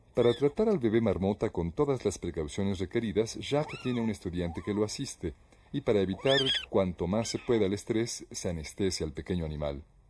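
A man's fairly low voice, fairly quick and with lively intonation, over noticeable background noise. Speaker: documentary narrator. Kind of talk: nature documentary narration. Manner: even, measured, formal narrator delivery.

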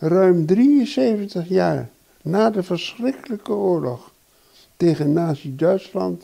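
A man with a high pitch and a dark, mellow tone speaks at a very slow pace. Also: quiet background. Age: 80s+. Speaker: letter writer, elderly citizen; interviewee. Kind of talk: reading aloud; interview. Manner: halting. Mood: earnest, concerned. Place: home room. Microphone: handheld.

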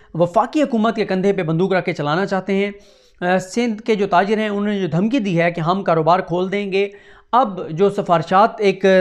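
Against a quiet background, a man speaks with a high pitch and fairly even intonation. His pace is moderate. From Pakistan. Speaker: news commentator. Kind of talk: news commentary monologue. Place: home room. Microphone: lapel.

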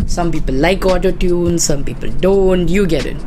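A man speaks at a moderate pace, his pitch varying in an ordinary way, while noticeable background noise carries on. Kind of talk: casual commentary. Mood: casual, irreverent, joking. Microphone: handheld.

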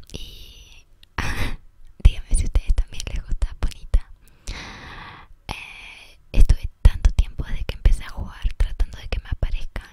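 A woman whispers at a fairly slow pace. Her loudness swings widely, with long, frequent pauses. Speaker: ASMR creator. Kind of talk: ASMR gameplay commentary. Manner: whispered; soft-spoken. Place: bus.

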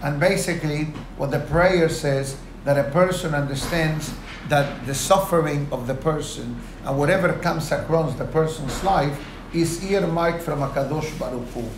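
Noticeable background noise behind a man's moderately paced speech with fairly even intonation. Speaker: rabbi. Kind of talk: lecture. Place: office. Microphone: lapel.

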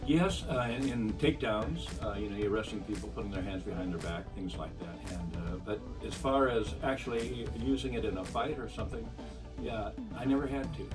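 Clear music plays behind a man with a very deep, low pitch. He talks at a fairly quick pace with very wide pitch swings. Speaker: retired police officer. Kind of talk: interview answer. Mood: warm, appreciative. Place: office.

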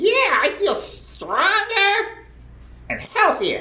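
This is a cartoonish character voice at an extremely high pitch. It moves at a very slow pace. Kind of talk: children's puppet sketch. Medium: puppet.

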